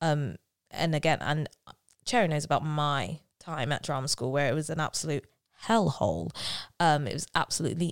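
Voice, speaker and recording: Speaking at a moderate pace with vocal fry, a woman's very deep, low voice comes through a very clean recording with a silent background and a dry, close sound free of echo. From South London. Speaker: musical theatre actress. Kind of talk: casual chat.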